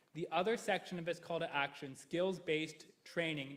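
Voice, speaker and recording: A man with a Canadian accent and an unremarkable speaking voice talks at a fairly quick pace, with a fairly high pitch and ordinary pitch variation. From Canada, Ingersoll, Ontario. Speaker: history professor. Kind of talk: presentation. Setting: council chamber with mic.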